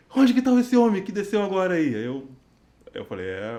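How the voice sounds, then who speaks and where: Very wide pitch swings from a man with a dark, mellow tone. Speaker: worship leader. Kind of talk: casual chat. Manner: hesitant, many fillers.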